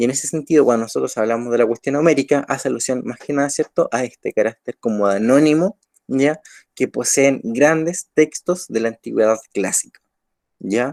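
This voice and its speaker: A medium-pitched man speaks at a moderate pace with ordinary pitch variation. The sound is dry and close, without echo. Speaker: teacher. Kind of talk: online lecture.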